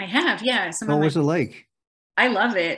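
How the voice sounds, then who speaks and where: A woman with a bright, sharp tone speaks at a fairly quick pace over a quiet background. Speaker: interviewee. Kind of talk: interview answer. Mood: relaxed, friendly. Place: home room. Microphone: video call.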